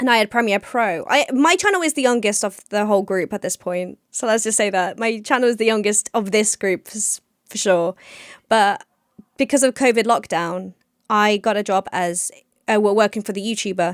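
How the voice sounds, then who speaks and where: In an English accent, a woman speaks at a moderate pace with a fairly high pitch and ordinary pitch variation, recorded dry and close with no echo. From England. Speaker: podcast co-host and YouTuber. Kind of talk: casual chat.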